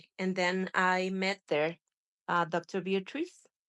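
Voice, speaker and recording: The dry, close sound with no echo carries a woman speaking with a Spanish accent. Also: quiet background. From Mexico. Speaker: spinal cord injury survivor and patient representative. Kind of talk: testimony. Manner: halting, with frequent fillers and restarts.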